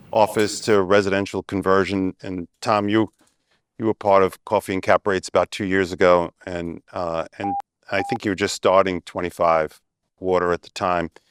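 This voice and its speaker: A man with an American accent and a fairly low pitch speaks at a moderate pace with fairly even intonation, the sound dry and close with no echo on a very clean recording with a silent background. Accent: Brooklyn, getting stronger. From Brooklyn, New York. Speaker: panel moderator, bank executive. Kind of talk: panel moderation. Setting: stage with live audience.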